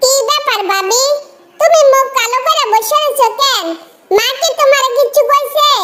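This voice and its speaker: A woman does a cartoonish character voice at an extremely high pitch. Her loudness stays very even. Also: moderate pace. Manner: warm, encouraging.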